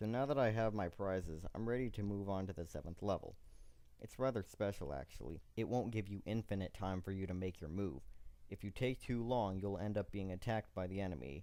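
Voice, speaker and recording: A man with a fairly low pitch and a dark, mellow tone talks at a fairly quick pace with ordinary pitch variation. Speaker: video game reviewer. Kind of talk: game review narration.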